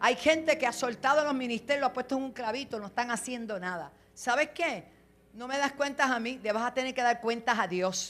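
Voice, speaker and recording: Animated in tone, the voice moves at a fairly quick pace with ordinary pitch variation. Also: woman, high pitch for a woman. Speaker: apostle and pastor. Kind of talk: sermon. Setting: church with congregation.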